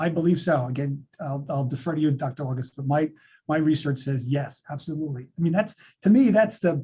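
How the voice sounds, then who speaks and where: This man's somewhat breathy voice is dark and mellow, fairly high in pitch with ordinary pitch variation, moving at a fairly quick pace. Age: 60s. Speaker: author and speaker on men's health. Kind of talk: webinar Q&A. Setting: video webinar.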